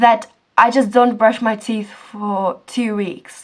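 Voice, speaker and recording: The woman speaks in a Czech accent. Her pitch is fairly high. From Czech Republic. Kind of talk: casual talk to camera.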